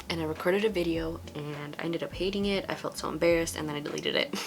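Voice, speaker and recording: Noticeable background noise runs behind the recording. A woman talks at a very fast pace. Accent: American. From US West Coast, Los Angeles. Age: 20s. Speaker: beauty vlogger. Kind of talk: casual vlog monologue while doing makeup.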